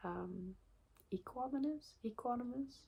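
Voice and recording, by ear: A woman's slow speech with vocal fry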